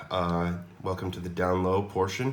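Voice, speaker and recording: In an American accent, a man speaks fairly slowly in a very deep, low voice, with audible room echo. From United States. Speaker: mod maker demonstrating his product. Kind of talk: product demo tutorial. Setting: home laundry room. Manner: casual, with many fillers.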